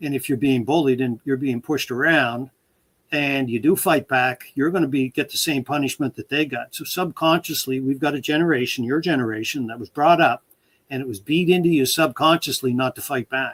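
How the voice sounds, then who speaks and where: Recorded very cleanly against a silent background, with a dry, close sound and no echo, a man speaks quickly in a normal speaking voice, fairly high in pitch with ordinary pitch variation. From Port Hawkesbury, Cape Breton, Canada. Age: 60s. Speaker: author, retired game warden. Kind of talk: casual interview chat. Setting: live stream.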